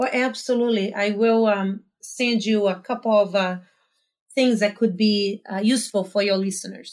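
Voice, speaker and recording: A woman of medium pitch speaks at a moderate pace in a Portuguese accent, on a very clean recording with a silent background. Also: ordinary pitch variation. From Brazil, small town. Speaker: life coach. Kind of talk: casual interview conversation.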